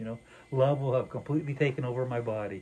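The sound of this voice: A man's medium-pitched voice with a dark, mellow tone, ordinary pitch variation and a fast pace.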